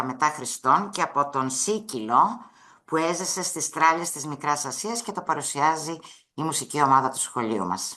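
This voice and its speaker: The tone is bright and sharp, and the pace fairly slow. The background is quiet. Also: woman. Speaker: school teacher. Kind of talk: webinar presentation.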